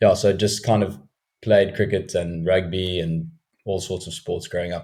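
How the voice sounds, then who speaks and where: A man with a very deep, low voice speaks at a fairly slow pace, sounding somewhat breathy. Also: very clean recording, silent background. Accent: South African. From South Africa, Cape Town. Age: 20s. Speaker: professional cricketer. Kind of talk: podcast interview.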